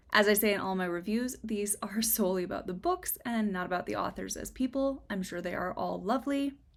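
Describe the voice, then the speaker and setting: Over noticeable background noise, a woman talks at a fairly quick pace, her medium pitch showing ordinary variation. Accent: American. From US Midwest, Minnesota. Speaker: book reviewer, video creator. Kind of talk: personal statement on current events; book review monologue to camera. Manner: earnest, emotional.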